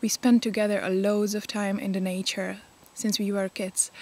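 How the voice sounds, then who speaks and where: In a Czech accent, a woman speaks with monotone, flat intonation on a very clean recording with a silent background. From Czech Republic. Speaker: pagan vlogger. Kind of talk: casual vlog talk. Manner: halting, many fillers.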